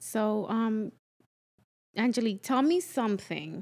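The voice has a dark, mellow tone and moves at a fairly slow pace in a very clean recording with a silent background. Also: woman. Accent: slight Dominican. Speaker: friend filling in as host. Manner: warm, upbeat.

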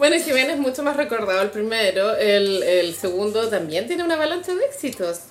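Over noticeable background noise, a woman with a Chilean accent talks at a fairly quick pace and fairly high pitch, with very wide pitch swings and hardly any pauses. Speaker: podcast co-host. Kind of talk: casual chat.

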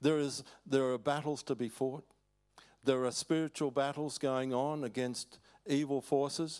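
An Australian-accented man with a fairly high pitch talks at a fairly slow pace in a monotone, flat intonation, recorded very cleanly with a silent background. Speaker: preacher, former missionary. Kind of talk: sermon. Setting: church.

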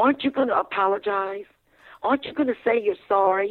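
A speaker with a Virginia accent goes at a fairly quick pace. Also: woman. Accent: Virginia Southern American. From US South, Fredericksburg, Virginia. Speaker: limousine driver and author. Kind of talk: radio interview, storytelling.

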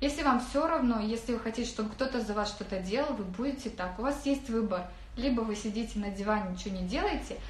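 A woman with a fairly high voice talks at a very fast pace and with ordinary pitch variation. Audible room echo and noticeable background noise come through. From Kazakhstan, Karaganda region. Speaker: online business coach. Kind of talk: webinar talk. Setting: rented office.

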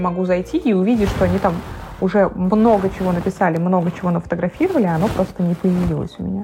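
Over background music, a woman talks very fast at a medium pitch. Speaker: blogger. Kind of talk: casual chat. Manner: animated.

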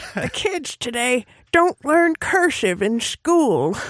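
A put-on character voice, high-pitched and very slow, swings very widely in pitch. The recording is very clean, with a silent background. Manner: complaining, lecturing.

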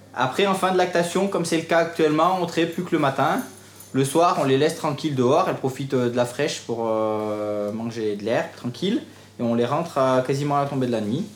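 A man at a fairly quick pace with lively intonation, amid noticeable background noise and audible room echo. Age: young. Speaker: farmer. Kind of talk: guided farm tour.

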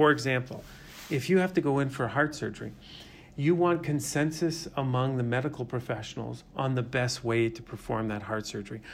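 At a fairly quick pace, a man talks in a plain, everyday voice with a medium pitch and ordinary pitch variation. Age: 50s. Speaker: investment fund manager. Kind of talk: interview.

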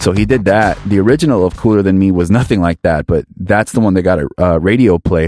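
A man with an American accent speaks at a very fast pace with hardly any pauses, his very deep, low pitch carrying a dark, mellow tone, ordinary pitch variation and very even loudness in a dry, close sound with no echo. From Miami, Florida. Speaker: DJ and producer. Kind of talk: casual interview.

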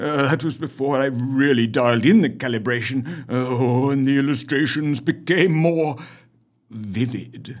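Pitch varies in an ordinary way while the talking keeps a moderate pace. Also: man, medium pitch for a man. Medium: audio drama. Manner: chummy and hearty, turning fevered and frightened.

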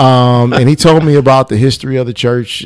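A normal speaking voice, a man with an American accent, fairly even intonation and a moderate pace. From US Midwest, Chicago suburb. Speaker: pastor. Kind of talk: casual chat. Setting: studio.

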